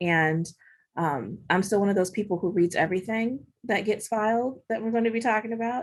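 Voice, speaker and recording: A woman with a plain, everyday voice talks at a fairly quick pace with ordinary pitch variation against a quiet background. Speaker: bankruptcy judge. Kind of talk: panel discussion.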